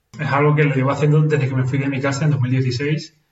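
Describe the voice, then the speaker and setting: A somewhat breathy man talks at a fairly quick pace, with audible room echo around his voice. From Venezuela, moved to Spain at seven. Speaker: nurse. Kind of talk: casual interview conversation. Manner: halting, with many repetitions.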